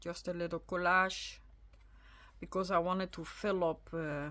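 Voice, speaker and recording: On a very clean recording with a silent background, a woman with a Dutch accent speaks at a fairly slow pace. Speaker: crafter, video creator. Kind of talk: casual journal flip-through. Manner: halting, with many fillers.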